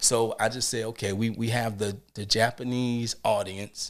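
Here a man speaks at a medium pitch with an American accent. His pace is moderate, and the recording is very clean with a silent background. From New Orleans, Louisiana. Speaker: rapper and convention performer. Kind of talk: casual interview. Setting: studio.

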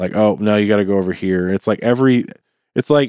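A man with an American accent talks at a fairly low pitch in a dark, mellow tone, with fairly even intonation and a dry, close sound with no echo. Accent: Southern US, slight, comes back when drinking. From US South. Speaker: podcast host. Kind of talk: casual chat.

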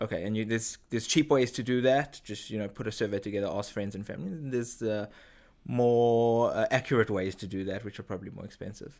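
A man with a slight South African accent speaks at a very fast pace with ordinary pitch variation. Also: medium pitch for a man, very clean recording, silent background. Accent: subtle South African. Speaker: head of brand marketing. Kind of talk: interview. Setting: studio.

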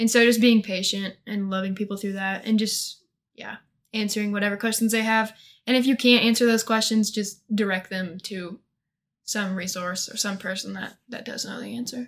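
A woman talks at a moderate pace with a Midwestern American accent and a fairly high pitch. Her intonation is monotone and flat, while her loudness swings widely. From US Midwest, northeast Missouri. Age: 20s. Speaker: college student. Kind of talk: casual interview. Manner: hesitant, many fillers.

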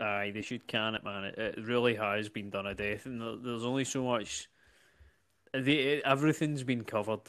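A man with a Scottish accent speaks at a medium pitch and a moderate pace, with fairly even intonation. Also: very clean recording, silent background. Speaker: comedian. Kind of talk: casual chat.

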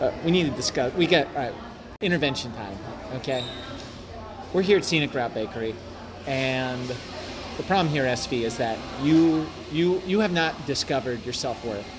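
A man at a moderate pace with a fairly high pitch, lively intonation and long, frequent pauses, with audible room echo and noticeable background noise. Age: 20s. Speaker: podcast host. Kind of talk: casual chat. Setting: cafe.

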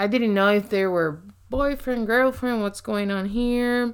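Fairly high, fairly even intonation from a woman's voice. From Puerto Rico. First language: Spanish. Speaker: ministry leader. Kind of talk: casual chat.

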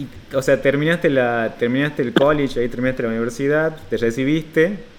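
Moderate pace and hardly any pauses, in an Argentine accent. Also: man. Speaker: podcast host. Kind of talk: interview; podcast intro/outro. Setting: video call. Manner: halting, many repetitions and fillers.

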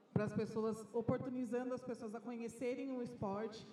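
Against noticeable background noise, a woman with a fairly high pitch talks at a moderate pace in a monotone, flat way. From interior of São Paulo state, Bauru. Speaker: basketball club marketing manager. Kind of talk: panel discussion. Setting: live event with audience.

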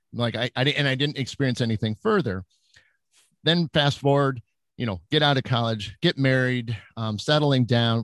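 Recorded dry and close with no echo, a man with a Midwestern American accent speaks at a fairly quick pace with ordinary pitch variation. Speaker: psychic medium and paranormal investigator. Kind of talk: casual interview chat.

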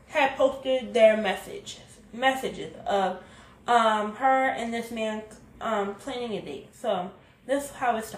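Audible echo from the room hangs around words delivered very slowly. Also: woman. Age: 20s. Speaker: podcast host. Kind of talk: casual commentary monologue.

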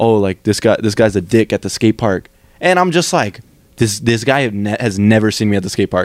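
A man with a medium pitch and an unremarkable speaking voice talks at a fairly quick pace with lively intonation, recorded with a dry, close sound and no echo. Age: 20s. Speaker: podcast host. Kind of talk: casual chat.

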